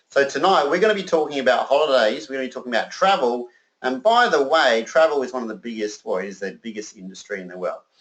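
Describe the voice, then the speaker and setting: A man with an Australian accent at a very fast pace, medium-pitched, with very wide pitch swings and big swings in loudness. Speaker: sales presenter. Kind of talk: sales pitch. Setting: conference call. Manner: animated.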